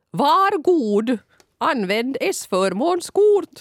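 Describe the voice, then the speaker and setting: A high-pitched, robotic put-on character voice. Its pitch swings very widely. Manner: creepy, mechanical.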